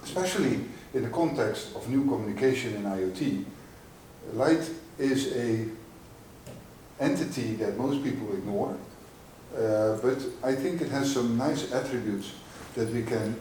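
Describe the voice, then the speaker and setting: A man at a moderate pace with ordinary pitch variation, long and frequent pauses, audible room echo, and noticeable background noise. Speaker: industry researcher. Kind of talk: conference talk. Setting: conference stage with audience. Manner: loud; halting.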